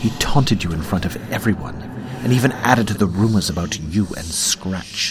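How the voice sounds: Reading aloud in a natural voice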